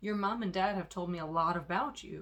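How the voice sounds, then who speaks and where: A growling, put-on character voice with a warm tone, middle pitch and a fairly quick pace. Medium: read story. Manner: warm, easygoing.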